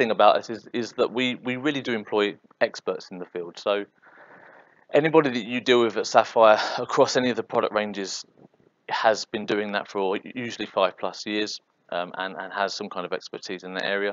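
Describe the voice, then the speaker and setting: A man talks at a fairly quick pace with a medium pitch. His pitch variation is ordinary, while his loudness shifts in big swings. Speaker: software consultant. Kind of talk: presentation. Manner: fast.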